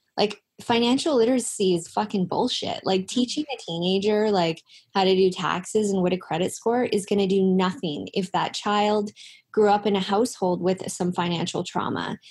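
A woman with a Canadian accent speaks in a somewhat breathy voice with ordinary pitch variation. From Canada, Langley, British Columbia. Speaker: financial coach. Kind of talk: interview.

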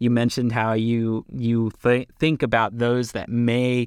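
A man with an American accent and a normal speaking voice talks at a medium pitch and a fairly slow pace, on a very clean recording with a silent background and a dry, close sound with no echo. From Pennsylvania. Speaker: podcast co-host. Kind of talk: interview.

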